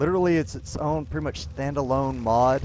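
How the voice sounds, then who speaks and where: A man talks with very wide pitch swings. The sound is dry with no echo, over light background noise. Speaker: gaming streamer. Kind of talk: live stream commentary. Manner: casual, halting with fillers.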